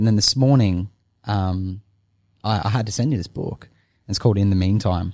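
On a very clean recording with a silent background, a man with a dark, mellow tone speaks at a fairly quick pace with fairly even intonation and long, frequent pauses. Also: fairly low pitch for a man. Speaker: podcast co-host. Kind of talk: casual chat.

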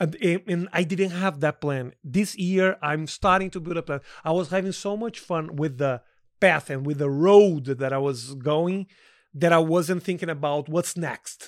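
Very clean recording with a silent background, a man with a Portuguese accent, high pitch, ordinary pitch variation, moderate pace. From Brazil. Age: 40s. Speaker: comedian. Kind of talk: casual chat.

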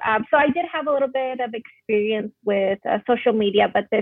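A woman with an American accent uses a normal speaking voice, speaking fairly quickly at a fairly high pitch with ordinary pitch variation. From Arizona (Phoenix). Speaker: medical student. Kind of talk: interview.

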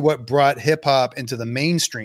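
An ordinary speaking voice from a man with an American accent, fairly high in pitch, at a moderate pace with ordinary pitch variation. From Boston, Massachusetts. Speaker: podcast host. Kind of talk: casual interview chat; scripted intro. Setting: video call.

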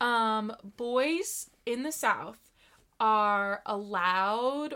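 A woman's bright, sharp voice at a fairly high pitch, with ordinary pitch variation, on a very clean recording with a silent background. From Wyoming. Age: 20s. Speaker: podcast guest. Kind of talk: casual chat.

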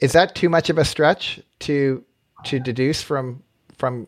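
A man with an American accent has an ordinary speaking voice at medium pitch, ordinary pitch variation, and a dry, close sound with no echo on a very clean recording with a silent background. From US West Coast. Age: 50s. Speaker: podcast host. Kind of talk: interview conversation.

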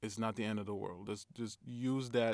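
A man's normal speaking voice, fairly low-pitched, with fairly even intonation at a moderate pace, on a very clean recording with a silent background. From Brooklyn, New York. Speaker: film director. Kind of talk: casual interview.

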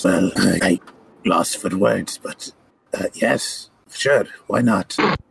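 In a put-on character voice, a man speaks raspy and very slow. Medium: actual play. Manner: wry, teasing, then flustered.

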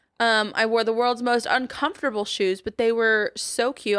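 A woman with an unremarkable speaking voice talks at a fairly quick pace, fairly high in pitch. Her pitch variation is ordinary, and the recording is very clean with a silent background. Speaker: podcast host. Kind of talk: casual chat. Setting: studio.

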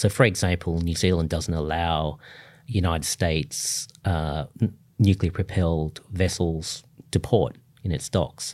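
In an Australian accent, the speaker shows ordinary pitch variation on a very clean recording with a silent background. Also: man. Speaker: foreign policy scholar. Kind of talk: interview.

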